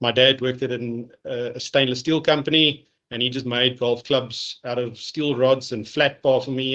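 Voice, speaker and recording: A man talks at a medium pitch in a monotone, flat way. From South Africa, Kempton Park, Johannesburg. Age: 40s. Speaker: golf professional association representative. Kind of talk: podcast interview.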